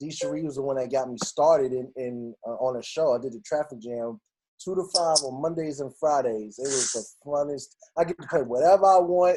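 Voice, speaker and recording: A man with a New York accent talks at a fairly quick pace, his pitch fairly high for a man and his pitch variation ordinary. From New York City, Queens. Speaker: radio DJ. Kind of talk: casual interview. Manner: animated.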